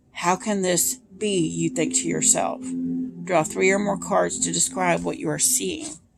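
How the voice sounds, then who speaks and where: A woman puts on a raspy character voice at a moderate pace. Music plays in the background. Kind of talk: second-person adventure story reading. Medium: solo performance.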